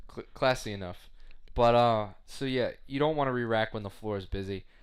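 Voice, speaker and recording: A man at medium pitch is heard on a very clean recording with a silent background. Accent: Long Island. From US Northeast, Long Island, New York. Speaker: podcast co-host, gym worker. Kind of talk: casual chat.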